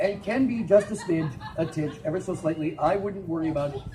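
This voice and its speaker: With audible room echo and noticeable background noise, a man speaks very fast in a high voice, animated in tone, with lively intonation. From Minnesota. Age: 60s. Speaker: storyteller. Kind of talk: live storytelling performance.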